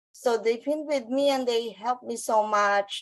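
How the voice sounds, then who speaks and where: Fairly even intonation in a Filipino accent. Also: woman. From Philippines, Baclaran (Manila). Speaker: business owner, former nurse. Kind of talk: panel interview.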